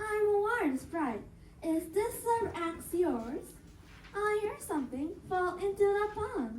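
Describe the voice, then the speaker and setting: A woman's put-on character voice at an extremely high pitch, fairly slow, with clear background noise. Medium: read story.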